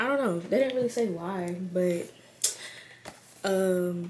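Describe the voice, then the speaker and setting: Using a plain, everyday voice, a woman speaks at a moderate pace and fairly low pitch, with ordinary pitch variation. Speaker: YouTuber. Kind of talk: casual vlog. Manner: casual, filler-heavy.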